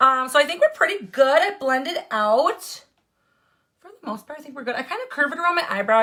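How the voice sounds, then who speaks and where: Speaking very fast in an American accent, a woman uses a high, raised and projected voice with very wide pitch swings. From Wisconsin. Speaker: makeup tutorial livestreamer. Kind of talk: live makeup tutorial.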